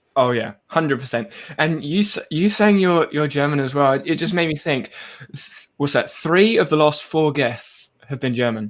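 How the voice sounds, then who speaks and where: In an English accent, a man talks at a moderate pace with a fairly high pitch and ordinary pitch variation. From England. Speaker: podcast host. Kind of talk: casual chat.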